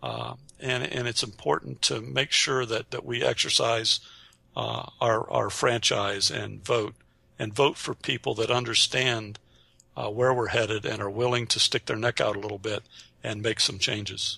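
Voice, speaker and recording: A man with an American accent, medium pitch, ordinary pitch variation, vocal fry and a bright, sharp tone at a moderate pace. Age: 50s. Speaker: webinar producer and prepper. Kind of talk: interview. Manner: halting with many fillers.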